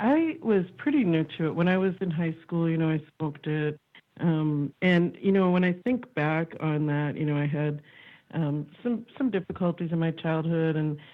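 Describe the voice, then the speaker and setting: A woman speaks with an American accent at a moderate pace. Her pitch is fairly low, with ordinary variation. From Massachusetts. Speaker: author. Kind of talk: interview. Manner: halting, many fillers.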